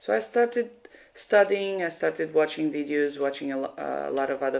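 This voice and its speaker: This woman has a Portuguese accent. Her pitch is very deep and low. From Portugal. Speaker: piercer. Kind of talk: live stream Q&A. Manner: halting.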